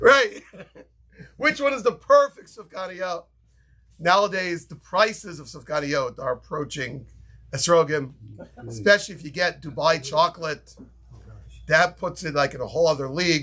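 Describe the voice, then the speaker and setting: A man with a New York accent talks at a moderate pace with a high pitch and a bright, sharp tone. His intonation is lively, his loudness swings widely, and he takes long, frequent pauses. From New York, Brooklyn. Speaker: rabbi teaching a class. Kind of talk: Torah lecture.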